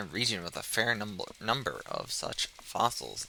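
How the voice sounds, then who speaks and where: A man's bright, sharp tone with vocal fry and lively intonation, on a very clean recording with a silent background. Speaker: live streamer, news show host. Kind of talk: casual live stream commentary; reading news article aloud. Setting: live stream. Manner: loud.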